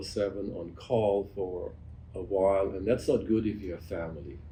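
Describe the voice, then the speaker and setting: In a German accent, the voice sounds dark, mellow and somewhat breathy, with audible room echo. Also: man. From Germany. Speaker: physician. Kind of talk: interview conversation. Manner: halting.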